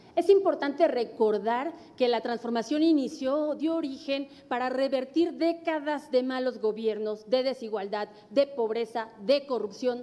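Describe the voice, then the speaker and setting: This woman has a high pitch for a woman. She talks at a moderate pace. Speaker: political candidate. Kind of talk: debate. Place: studio. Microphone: podium.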